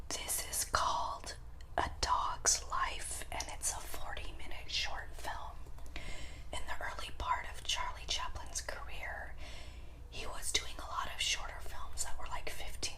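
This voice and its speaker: A whispered voice moves at a moderate pace over noticeable background noise. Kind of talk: ASMR collection show-and-tell. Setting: indoors, home recording.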